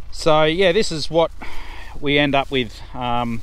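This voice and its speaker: Pitch varies in an ordinary way. The sound is dry with no echo. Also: man. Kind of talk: casual vlog chat. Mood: resigned, matter-of-fact. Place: open country. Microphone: phone near.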